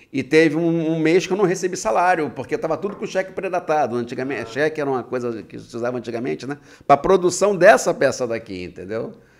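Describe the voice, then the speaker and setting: Pitched fairly high for a man and showing vocal fry, his voice races at a very fast pace with very wide pitch swings and hardly any pauses. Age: 60s. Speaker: writer, retired bank employee. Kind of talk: podcast interview. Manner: halting, repetitive.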